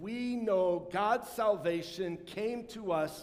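A man's voice with audible room echo. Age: 50s. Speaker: pastor. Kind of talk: sermon. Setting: church.

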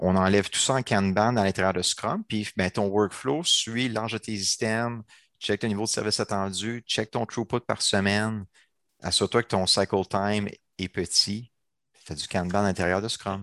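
Over a quiet background, a man talks at a moderate pace with a fairly low pitch, and the sound is dry and close with no echo. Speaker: agile coach and trainer. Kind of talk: casual chat. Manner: animated.

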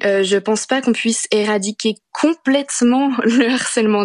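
A woman speaks at a moderate pace with ordinary pitch variation, in a dry, close sound with no echo. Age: 20s. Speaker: teacher and anti-harassment activist. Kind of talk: interview. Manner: hesitant with fillers.

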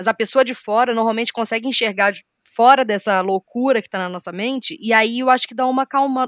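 Here is an ordinary speaking voice at a fairly quick pace, with ordinary pitch variation and a dry, close sound with no echo over a quiet background. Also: woman. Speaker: podcast co-host. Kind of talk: casual chat.

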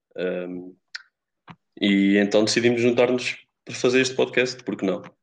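Pitched fairly low, a man talks at a fairly quick pace with ordinary pitch variation. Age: 20s. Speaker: podcast co-host, economics student. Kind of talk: casual chat.

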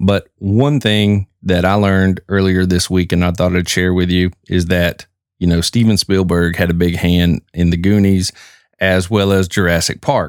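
In a very clean recording with a silent background and a dry, close sound with no echo, a man with a Southern US accent speaks at a moderate pace in a very deep, low pitch with ordinary pitch variation. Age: 40s. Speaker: podcast host. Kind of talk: casual podcast monologue.

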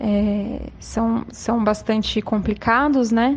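Her voice is fairly high and somewhat breathy as the woman speaks. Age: 30s. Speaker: social worker and former educator. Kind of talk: recorded testimony. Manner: halting, many fillers.

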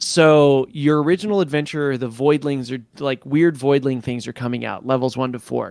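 This man speaks in a plain, everyday voice at a moderate pace. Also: very clean recording, silent background. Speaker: podcast co-host. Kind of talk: casual chat.

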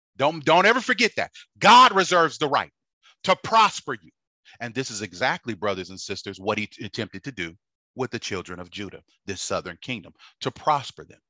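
Against a quiet background, a man's medium-pitched voice comes across dry and close with no echo, bright and sharp in tone, moving at a fairly quick pace with very wide pitch swings and big swings in loudness. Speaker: preacher. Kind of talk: sermon. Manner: preacher in full flow: urgent, forceful, pounding repetition, warning tone; halting with filler words in calmer stretches.

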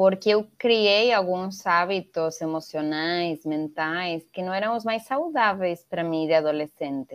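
With hardly any pauses, a woman talks at a fairly slow pace in a fairly low pitch. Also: ordinary pitch variation. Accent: Spanish. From Venezuela. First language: Spanish (speaking Portuguese). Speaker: NGO founder, educator. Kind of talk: interview.

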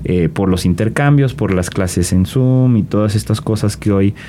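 Ordinary pitch variation marks this man's fairly slow delivery. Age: 20s. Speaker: political scientist and youth civic leader. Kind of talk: interview.

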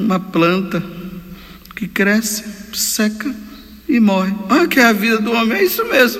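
Amid noticeable background noise, a man speaks fairly slowly at a high pitch with ordinary pitch variation and long, frequent pauses. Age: 50s. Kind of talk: homily. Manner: animated.

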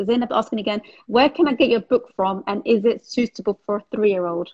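A woman's somewhat breathy voice at a medium pitch and a fairly quick pace, with ordinary pitch variation. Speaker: podcast host. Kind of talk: casual interview, live stream. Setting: video call, live stream.

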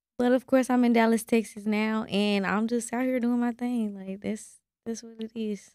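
With an American accent, a woman speaks in a fairly high pitch and a dark, mellow tone. Her intonation stays monotone and flat at a moderate pace, while her loudness swings a lot. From Kansas City. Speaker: rapper. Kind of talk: casual chat.

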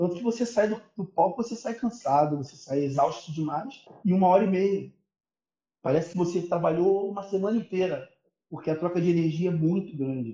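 A man speaks at a fairly quick pace with a high pitch and lively intonation. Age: 30s. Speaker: percussionist. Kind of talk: casual chat.

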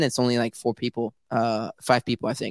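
On a very clean recording with a silent background, a man speaks at a very fast pace, the sound dry and close with no echo. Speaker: crypto livestream host. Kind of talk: casual chat. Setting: video livestream. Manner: animated; excitable.

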